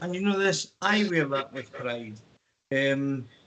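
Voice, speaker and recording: Someone with a Scottish accent speaks with ordinary pitch variation. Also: man. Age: 60s. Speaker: councillor. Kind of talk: council meeting debate. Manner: halting, many fillers.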